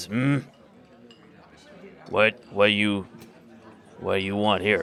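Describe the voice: In a put-on character voice, the speaker sounds raspy and gruff, talking at a very slow pace. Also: man, fairly low pitch for a man.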